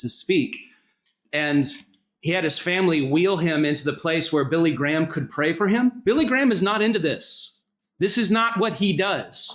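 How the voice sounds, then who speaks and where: A high-pitched man with an American accent, lively intonation and a moderate pace. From US South, North Carolina. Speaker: senior minister, pastor. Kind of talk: speech at interfaith summit.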